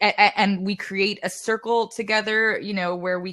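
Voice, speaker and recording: The woman's tone is bright and sharp, with fairly even intonation. The recording is very clean, with a silent background. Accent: New York. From New York. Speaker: singer-songwriter. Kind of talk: casual interview chat.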